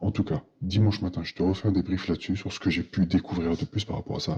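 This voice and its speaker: Soft-spoken and somewhat breathy, a man with a very deep, low pitch and a dark, mellow tone speaks at a fairly quick pace with lively intonation. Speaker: accountant vlogger. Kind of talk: personal vlog monologue.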